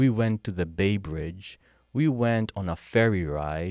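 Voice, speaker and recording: A man with a Kenyan accent speaks at a fairly low pitch with ordinary pitch variation. The recording is very clean and dry, close-sounding with no echo and a silent background. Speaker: military veteran and healthcare software consultant. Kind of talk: casual interview. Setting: at a historic site, in person. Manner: energetic.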